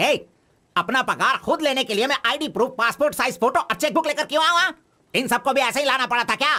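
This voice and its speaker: This put-on character voice sits high in pitch and races along at a very fast pace. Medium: fan dub.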